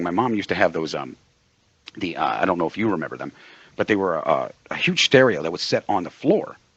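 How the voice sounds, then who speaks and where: A man with a slight East Coast accent talks at a very fast pace. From Pennsylvania, US East Coast. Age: 40s. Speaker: radio co-host and producer. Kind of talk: casual chat.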